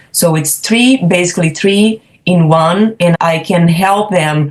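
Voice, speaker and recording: A woman talks at a fairly slow pace in a fairly low, somewhat breathy voice. Her pitch varies in an ordinary way. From Brazil. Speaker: professional home organizer. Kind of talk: podcast interview.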